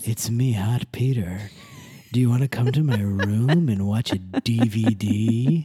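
This man uses a put-on character voice at a medium pitch. He moves at a fairly slow pace with ordinary pitch variation. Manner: suave, seductive.

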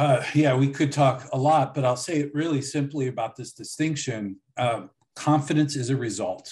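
Against a quiet background, a man with a fairly high pitch and a somewhat breathy voice speaks at a moderate pace with ordinary pitch variation. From US, Buffalo, New York. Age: 40s. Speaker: leadership coach. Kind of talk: interview.

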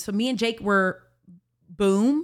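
With an American accent, a plain, everyday voice speaks at a fairly slow pace with ordinary pitch variation in a very clean recording with a silent background. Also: woman. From Alabama, US South. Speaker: podcast guest, church worker. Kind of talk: testimony.

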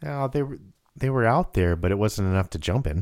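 A man speaks at a fairly low pitch with a slightly mellow tone. His intonation is lively and his pace fairly quick.

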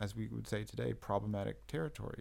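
A man with a General American accent talks at a fairly quick pace. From California. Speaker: editor and writer. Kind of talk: interview. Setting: in Bucharest. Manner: halting.

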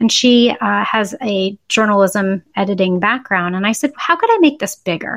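Against a quiet background, a woman with a medium pitch uses a normal speaking voice at a moderate pace. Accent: American. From Boston, US. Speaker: parent and author. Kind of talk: interview.

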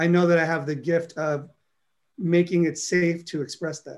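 This is a man with a New York accent. He speaks at a fairly high pitch. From New York City (Harlem, South Bronx). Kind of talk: interview.

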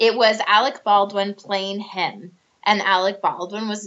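A woman speaks with a Midwestern accent at a medium pitch. Her pitch varies in an ordinary way. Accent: general American, Midwestern. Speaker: actress. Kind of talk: casual chat. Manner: animated.

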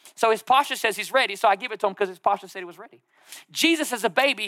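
This man's voice sits at an extremely high pitch, raised and projected with an animated tone. The sound is dry and close, with no echo. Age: 30s. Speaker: pastor. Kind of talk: sermon.

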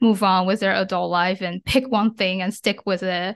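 A woman talks with a Chinese accent at a moderate pace. The background is quiet. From China. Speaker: ADHD advocate. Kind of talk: interview.

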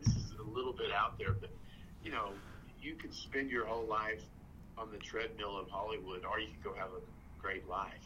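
A man with a West Texas accent at a moderate pace, with audible room echo. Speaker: actor. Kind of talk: casual chat.

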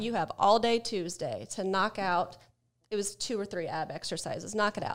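With an American accent, a woman speaks at medium pitch and moderate pace, with ordinary pitch variation, in an ordinary speaking voice. The recording is very clean, with a silent background. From Ohio, US. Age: 40s. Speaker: sobriety coach and personal trainer. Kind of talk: casual interview chat.

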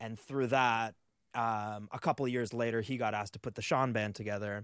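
This man uses a normal speaking voice with a Canadian accent, fairly low in pitch, with fairly even intonation and a fairly quick pace, on a very clean recording with a silent background. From Canada. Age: 30s. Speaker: touring drummer. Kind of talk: casual chat.

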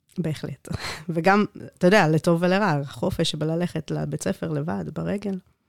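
Heard dry and close with no echo, a woman with vocal fry and a fairly low pitch speaks at a moderate pace with ordinary pitch variation. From South Africa. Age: 30s. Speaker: IT manager. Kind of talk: interview. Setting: studio.

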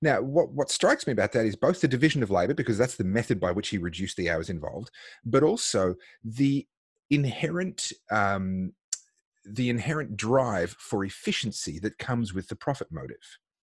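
With an Australian accent, a man talks at a fairly quick pace and medium pitch, somewhat breathy, with very wide pitch swings, in a dry, close sound with no echo against a quiet background. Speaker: podcast host. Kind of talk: interview.

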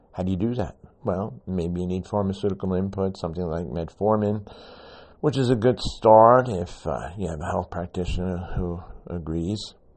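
A man speaks with a very deep, low pitch. His pitch varies in an ordinary way. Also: moderate pace. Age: 70s. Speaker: podcast host and supplement advocate. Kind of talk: solo monologue podcast. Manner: conversational, rambling.

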